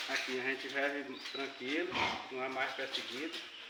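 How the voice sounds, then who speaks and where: At a fairly slow pace, a man talks amid noticeable background noise and audible room echo. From Brazil, Acre (Xapuri). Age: 60s. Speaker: rubber tapper community leader. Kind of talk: interview. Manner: halting.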